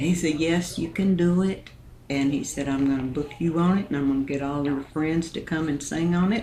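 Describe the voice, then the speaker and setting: With audible room echo and noticeable background noise, a woman speaks at a moderate pace in a very deep, low pitch. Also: ordinary pitch variation. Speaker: country singer. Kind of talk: interview.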